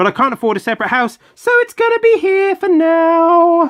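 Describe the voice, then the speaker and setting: The sound is dry and close, with no echo. A man speaks at a fairly slow pace. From UK. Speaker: toy collector youtuber. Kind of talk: toy unboxing video. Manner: casual, hesitant with fillers.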